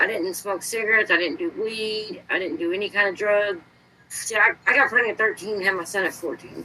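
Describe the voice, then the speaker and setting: Noticeable background noise sits behind a woman speaking at a fairly quick pace. Her pitch is medium and her intonation lively. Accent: American. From Indiana. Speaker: podcast guest. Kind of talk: casual chat.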